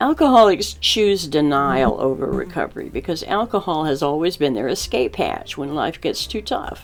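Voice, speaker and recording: A woman at a moderate pace with hardly any pauses, music in the background. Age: 70s. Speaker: recovering alcoholic and author. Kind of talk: personal talk to camera on addiction.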